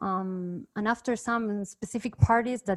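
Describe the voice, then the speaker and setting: A woman with a Spanish accent speaks with fairly even intonation in a dry, close sound with no echo. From Argentina, Cordoba. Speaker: music producer. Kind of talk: casual chat.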